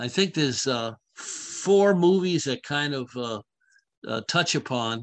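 At a very slow pace with long, frequent pauses, a man speaks in a fairly high pitch with lively intonation. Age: 70s. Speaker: podcast co-host. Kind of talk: casual chat. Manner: halting.

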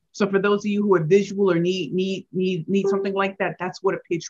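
Speaking fairly quickly in an American accent, a woman sounds animated and somewhat breathy, her pitch sitting at a medium level. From St. Louis, Missouri (inner city). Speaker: pitch coach and author. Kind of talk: interview.

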